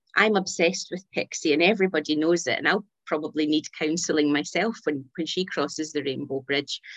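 With a Scottish accent, a woman talks fairly quickly with hardly any pauses, her very deep, low pitch moving in an ordinary way, and the sound is dry and close with no echo. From Scotland. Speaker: pet bereavement counsellor and author. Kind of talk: casual chat.

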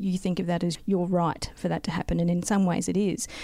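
Talking at a fairly quick pace, a woman with an Australian accent speaks at a medium pitch. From South Australia. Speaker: local councillor and geologist. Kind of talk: interview.

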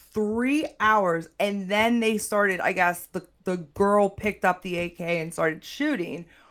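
Over a silent background in a very clean recording, a woman with a plain, everyday voice and an American accent speaks at a fairly slow pace, her medium pitch moving with lively intonation. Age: 30s. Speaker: juvenile justice clinician. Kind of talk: casual chat.

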